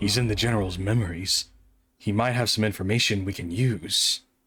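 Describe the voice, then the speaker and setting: A put-on character voice comes through at a fairly quick pace. Its intonation stays fairly even. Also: man, fairly low pitch for a man. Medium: virtual streamer. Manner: terse, guarded.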